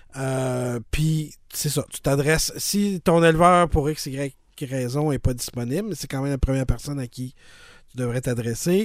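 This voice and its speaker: Speaking at a fairly slow pace, a man with a fairly high pitch and ordinary pitch variation shows big swings in loudness. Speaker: podcast host. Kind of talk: casual chat. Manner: halting, many repetitions and fillers.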